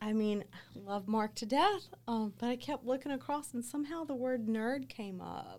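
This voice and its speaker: An ordinary speaking voice from a woman, with a fairly high pitch and ordinary pitch variation. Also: moderate pace. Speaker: business owner. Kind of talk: casual interview chat.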